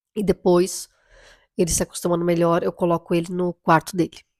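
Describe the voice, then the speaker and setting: This woman speaks at a moderate pace. Her intonation is monotone and flat. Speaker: mother vlogger. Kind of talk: casual vlog talk. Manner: halting.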